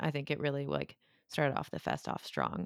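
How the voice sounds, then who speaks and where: A woman talks at a fairly quick pace with vocal fry. The sound is dry and close with no echo, on a very clean recording with a silent background. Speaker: horror podcast co-host. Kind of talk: casual chat.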